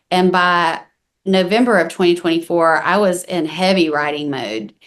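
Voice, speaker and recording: Speaking with a Southern US accent, a woman keeps a moderate pace at a fairly low pitch. The background is quiet. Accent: Southern US country. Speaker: country singer-songwriter. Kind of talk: interview. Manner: casual, with many fillers.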